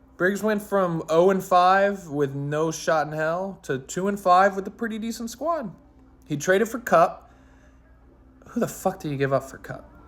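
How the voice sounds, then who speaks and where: Over music in the background, a man with a high voice talks at a moderate pace with ordinary pitch variation. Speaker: fantasy football league commentator. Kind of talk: casual chat. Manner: animated.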